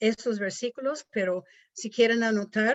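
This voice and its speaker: A woman speaks at a fairly slow pace with a non-native accent. Her voice is fairly high. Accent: non-native Spanish, rusty. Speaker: missionary, pastor's wife. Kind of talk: devotional talk. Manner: halting.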